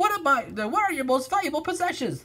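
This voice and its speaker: A man's put-on character voice, squeaky and extremely high, rattled off at a very fast pace. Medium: read story. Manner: shifty, wheedling.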